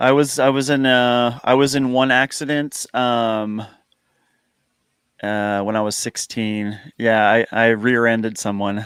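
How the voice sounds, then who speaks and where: In a normal speaking voice, a man with an American accent talks at a medium pitch and a fairly slow pace with fairly even intonation, on a very clean recording with a silent background. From United States. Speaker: YouTuber guest. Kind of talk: casual chat.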